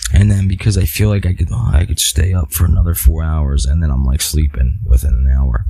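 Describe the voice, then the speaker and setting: Over noticeable background noise, a man's voice rises and falls in very wide pitch swings. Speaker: podcast host. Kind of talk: solo podcast monologue. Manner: halting.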